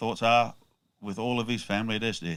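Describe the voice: A man's fairly low, fairly bright voice, clear and smooth in tone, at a fairly quick pace with ordinary pitch variation.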